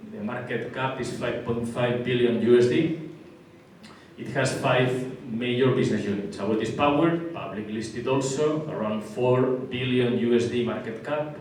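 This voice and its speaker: A man speaks with a strong Spanish accent and fairly even intonation. Noticeable background noise and audible room echo are present. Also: medium pitch for a man, moderate pace. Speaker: construction company executive. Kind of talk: business presentation. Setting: luncheon event with audience.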